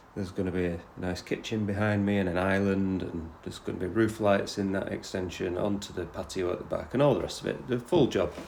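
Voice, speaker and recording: Very fast and with hardly any pauses, a man speaks in a fairly low pitch and fairly even intonation. There is audible room echo. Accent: northeast English. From northeast England, Teesside. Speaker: podcast host, property investor. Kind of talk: casual podcast intro and interview. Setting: on site in a house under renovation. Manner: casual, with many fillers.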